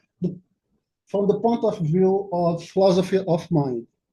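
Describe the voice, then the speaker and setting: With a Portuguese accent, a man talks at a fairly slow pace in a high pitch with ordinary pitch variation. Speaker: academic speaker. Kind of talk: conference talk. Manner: halting.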